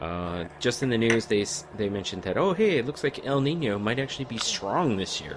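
Over noticeable background noise, a man talks at a fairly quick pace. His medium-pitched voice has lively intonation. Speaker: podcast host. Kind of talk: casual chat.

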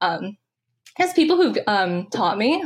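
In a Californian accent, a woman talks at a fairly quick pace. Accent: Californian American. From San Francisco, California. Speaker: undergraduate researcher. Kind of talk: interview. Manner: hesitant, many fillers.

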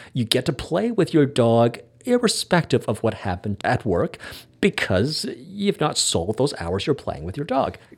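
In a Canadian accent, a man with fairly high pitch and vocal fry speaks at a moderate pace. His pitch swings very widely, on a very clean recording with a silent background. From Canada. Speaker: podcast host and hypnotherapist. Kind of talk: casual chat.

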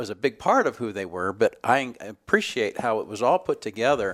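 A man speaks in a normal speaking voice at medium pitch and a fairly quick pace. The recording is very clean with a silent background. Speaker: interviewer. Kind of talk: interview questions.

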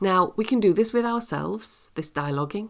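Very clean recording, silent background, with a woman speaking. She has an ordinary speaking voice, a fairly quick pace and lively intonation. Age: 50s. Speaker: leadership podcast host and coach. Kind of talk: solo podcast monologue.

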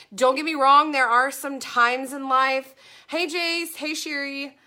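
A woman's raised, projected voice, high in pitch with a bright, sharp tone, at a fairly slow pace on a very clean recording with a silent background. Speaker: business and mindset coach. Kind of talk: solo podcast episode, coaching talk. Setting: Facebook Live recorded for podcast. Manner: upbeat, enthusiastic.

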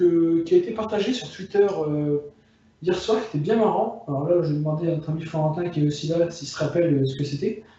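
Noticeable background noise and audible room echo surround the speaker. He is a man with a high pitch who talks at a fairly quick pace. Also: ordinary pitch variation. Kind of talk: casual chat. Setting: phone call from bedroom. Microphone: phone.

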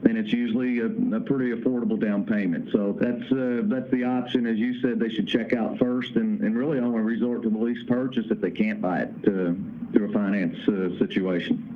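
A man with a slight Kentucky accent, medium pitch and ordinary pitch movement, talking fairly quickly amid noticeable background noise and audible room echo. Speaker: founder of a trucking owner-operator association. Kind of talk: interview.

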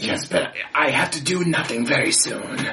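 This is a put-on character voice. The pace is moderate. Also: man. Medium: actual play. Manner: prim, mock-polite.

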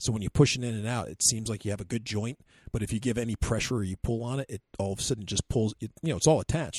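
This man speaks very fast at a medium pitch, somewhat breathy, with ordinary pitch variation. The sound is dry and close with no echo, and the recording is very clean with a silent background. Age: 50s. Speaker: podcast co-host, RC hobbyist. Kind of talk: casual chat; field interview. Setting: outdoors at an airfield.

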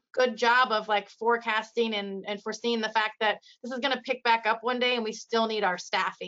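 In a Midwestern US accent, a woman speaks at a fairly high pitch and a moderate pace with monotone, flat intonation. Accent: US Midwest. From Iowa, US Midwest. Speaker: radiography educator. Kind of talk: casual interview.

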